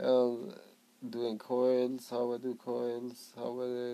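Speaking at a very slow pace, a man with a Swedish accent holds a medium pitch. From Sweden, Skellefteå; Sweden. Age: 30s. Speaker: vaping vlogger. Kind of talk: casual vlog. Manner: halting, stuttering. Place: home room. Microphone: phone near.

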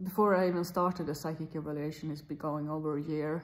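Her voice sits fairly low in pitch. The speaker is a woman. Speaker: vlogger. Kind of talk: casual vlog chat. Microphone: phone near.

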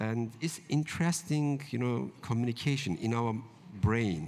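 Speaking with a Turkish accent, a man uses a medium pitch. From central Turkey, rural village. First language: Kurdish. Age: 50s. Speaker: novelist; author on a panel. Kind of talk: literary panel discussion. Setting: stage with live audience. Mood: reflective, warm. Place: tent. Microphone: handheld.

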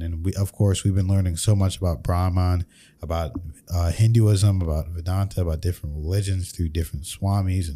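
Very deep and low, a man's voice has a dark, mellow tone and is somewhat breathy. He speaks at a fairly quick pace with fairly even intonation. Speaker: podcast host. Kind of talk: reaction commentary. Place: studio. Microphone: studio mic.

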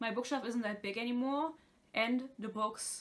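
A woman speaks with a bright, sharp tone. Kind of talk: casual vlog chat. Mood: chatty, laughs at times. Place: home room. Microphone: phone near.

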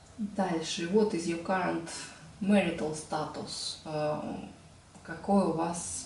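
The voice moves at a very slow pace. Noticeable background noise and audible room echo come through. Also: woman. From Russia, Tolyatti. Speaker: video blogger. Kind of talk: tutorial. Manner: hesitant with filler sounds.

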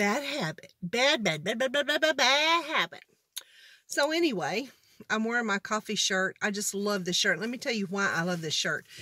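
In a dry recording with no echo and a quiet background, a woman with a bright, sharp tone speaks at a moderate pace, her pitch swinging very widely. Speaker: vlogger. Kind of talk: casual vlog chat. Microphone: phone near.

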